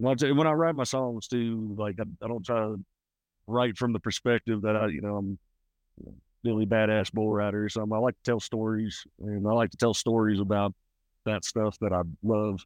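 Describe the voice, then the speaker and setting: Pitched fairly low, a man talks at a fairly quick pace with fairly even intonation but big swings in loudness. The background is quiet, and the sound is dry and close with no echo. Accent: Southern US. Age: 30s. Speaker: country singer. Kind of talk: casual chat. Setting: outdoors.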